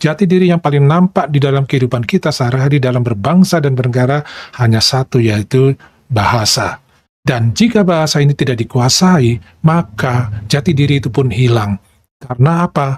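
A man with an Indonesian accent talks at a moderate pace, his voice somewhat breathy with ordinary pitch variation and very even loudness. The sound is dry with no echo, over a quiet background. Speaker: reaction video host; reaction channel host. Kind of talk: video commentary. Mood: calm, explanatory. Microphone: lapel.

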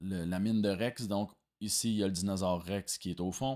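A man's dark, mellow tone with fairly even intonation, against a quiet background. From Quebec. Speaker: video game design student. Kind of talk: project presentation. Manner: hesitant, many fillers. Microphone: webcam.

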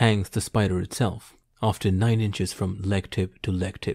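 In a dramatic tone, a man speaks at a fairly low pitch with fairly even intonation and a dark, mellow, somewhat breathy tone. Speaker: audiobook narrator. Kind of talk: literary audiobook reading of a hunting memoir, first-person scripted narration. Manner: measured, unhurried, formal storytelling pace; vividly descriptive, quietly dramatic.

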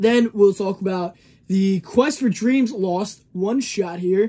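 A man speaks with a high pitch. His tone is dark and mellow. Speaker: comic collector. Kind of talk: casual review talk. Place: shop.

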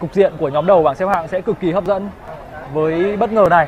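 Amid crowd noise in the background, a man talks at a moderate pace in a high pitch with ordinary pitch variation. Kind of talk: live sports commentary.

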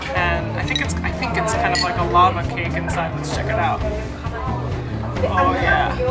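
Moderate-paced speech with music playing behind it. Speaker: food vlogger. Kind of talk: casual vlog chat. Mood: delighted, enthusiastic. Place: cafe.

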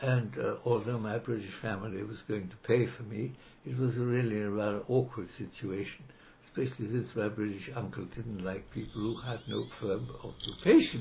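Somewhat breathy and dark, mellow in tone, a man speaks at medium pitch and a moderate pace with fairly even intonation over light background noise. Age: 90s. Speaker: law professor. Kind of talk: interview reminiscence; interview answer, reminiscence. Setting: library. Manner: halting.

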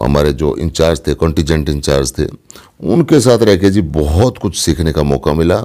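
Over a quiet background, a voice with a Haryanvi accent speaks at a fairly slow pace with a dark, mellow tone, vocal fry and lively intonation. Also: man, very deep, low pitch for a man. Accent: Haryanvi-accented Hindi. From Haryana, Dujana village (Jhajjar); Haryana. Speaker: film actor; actor being interviewed. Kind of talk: interview. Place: home room. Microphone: phone near.

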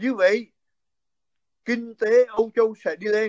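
Very slowly, a man speaks over a quiet background in a dry sound with no echo. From central Vietnam, Quảng Bình; central Vietnam. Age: 60s. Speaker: physician and political commentator; political commentator. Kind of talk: interview. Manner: halting. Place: home room. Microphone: phone near.

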